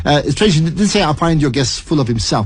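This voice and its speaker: A man's fairly high voice with very wide pitch swings, over noticeable background noise. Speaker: radio presenter. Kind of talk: radio interview host.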